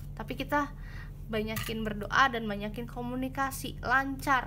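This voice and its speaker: A soft-spoken woman with a fairly high pitch and a bright, sharp tone talks at a moderate pace with vocal fry, in a room with audible echo. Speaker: tarot reader. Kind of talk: tarot pick-a-card reading. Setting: home at night. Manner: soft-spoken, quiet; casual, chatty.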